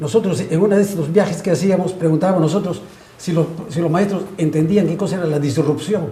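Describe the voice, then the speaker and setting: Over noticeable background noise and audible room echo, a man talks at a very fast pace with a high pitch. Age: 80s+. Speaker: pediatrics professor. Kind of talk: panel discussion.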